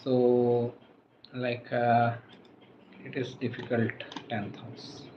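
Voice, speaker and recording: Very slowly, a man speaks at a medium pitch. His voice is somewhat breathy. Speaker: astrologer. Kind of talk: live stream Q&A. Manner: soft-spoken; halting.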